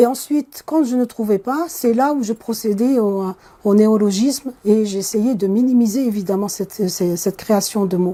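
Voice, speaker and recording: Her tone dark and mellow, a woman with an Algerian accent speaks at a fairly high pitch. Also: ordinary pitch variation, moderate pace. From Kabylie, Algeria. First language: Kabyle (speaking French). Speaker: computer science professor. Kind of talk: interview. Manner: hesitant with fillers.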